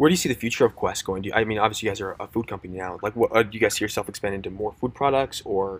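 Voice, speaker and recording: With an American accent, the speaker rushes at a very fast pace with hardly any pauses, on a very clean recording with a silent background. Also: man, fairly low pitch for a man, ordinary pitch variation. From Minnesota, US. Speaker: podcast host. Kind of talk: casual interview chat. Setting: live-streamed podcast.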